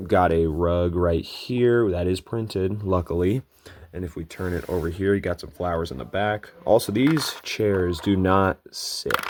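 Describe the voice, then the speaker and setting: A man with a very deep, low pitch talks at a fairly slow pace, with ordinary pitch variation. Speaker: toy reviewer. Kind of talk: product review. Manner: casual.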